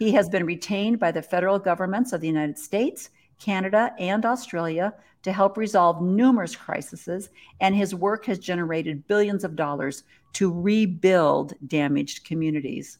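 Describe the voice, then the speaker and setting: In a quiet background, a woman uses an ordinary speaking voice of medium pitch with ordinary pitch variation, at a moderate pace. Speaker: podcast host. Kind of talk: casual chat. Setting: video call.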